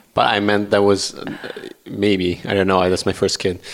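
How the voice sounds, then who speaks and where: Here a man talks with a fairly low pitch. Noticeable background noise is present. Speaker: triathlete husband of host. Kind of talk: casual family chat. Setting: kitchen table at home.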